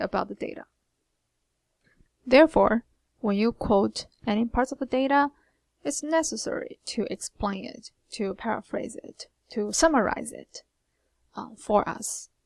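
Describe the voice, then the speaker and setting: A woman with a Chinese accent speaks at a fairly high pitch and a fairly slow pace, with lively intonation and long, frequent pauses. Her loudness swings widely, and the sound is dry and close with no echo. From China. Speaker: writing instructor. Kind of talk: recorded lecture. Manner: hesitant, many fillers.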